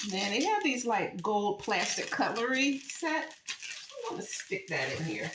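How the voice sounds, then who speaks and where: A woman with an American accent speaks in a relaxed tone, her pitch swinging very widely. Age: 60s. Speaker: lifestyle vlogger, former caterer. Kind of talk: casual home decor vlog. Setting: home kitchen. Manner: relaxed, conversational with many fillers.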